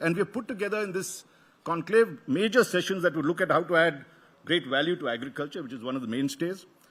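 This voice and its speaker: A man speaks with a South Indian accent. His pitch is high and his intonation lively. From Karnataka, South India. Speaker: media executive opening a conference. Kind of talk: welcome address. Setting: stage with audience. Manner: halting, many fillers and restarts; formal.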